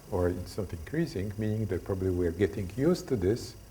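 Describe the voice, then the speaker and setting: Somewhat breathy and dark, mellow in tone, a man speaks with a Polish accent in a room with audible echo. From Poland. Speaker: lecturer on stress. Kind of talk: lecture. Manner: halting, many fillers.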